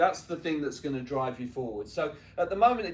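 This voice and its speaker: A man with a London accent, fairly high pitch and a fairly quick pace. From North London, England. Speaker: tennis coach and business owner speaking to students. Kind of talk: motivational talk to students. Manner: conversational, frequent 'right?' tags.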